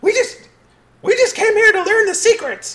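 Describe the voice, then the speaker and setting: At a moderate pace, a put-on character voice squeaks at an extremely high pitch. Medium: actual play.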